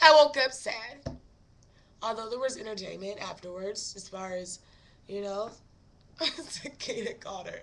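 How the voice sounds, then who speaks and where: A woman's raised, projected voice. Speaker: podcast host. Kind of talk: casual chat. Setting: live stream.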